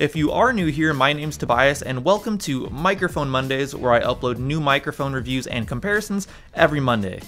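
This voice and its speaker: With ordinary pitch variation, a man's speech moves at a fairly quick pace. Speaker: microphone reviewer. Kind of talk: product review vlog. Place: studio.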